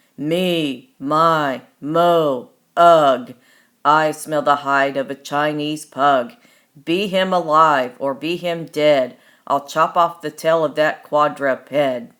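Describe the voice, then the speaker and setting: In a very clean recording with a silent background, a booming put-on character voice at a middle pitch speaks at a very slow pace. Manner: menacing, growling.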